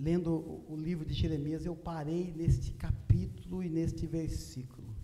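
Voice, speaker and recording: In a room with audible echo and noticeable background noise, a man with a fairly high pitch speaks at a moderate pace with ordinary pitch variation. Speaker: evangelist preacher. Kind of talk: sermon. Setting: church.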